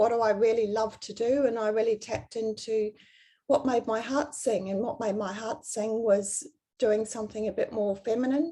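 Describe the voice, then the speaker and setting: A woman with a New Zealand accent speaks at a moderate pace. Her fairly high voice has a dark, mellow tone and fairly even intonation. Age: 60s. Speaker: personal stylist. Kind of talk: interview.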